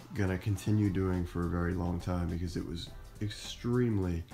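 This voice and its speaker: A man talks in a very deep, low voice. Faint music sits in the background. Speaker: cosplayer vlogger. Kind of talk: casual vlog chat. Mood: happy, reflective. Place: home room. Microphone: phone near.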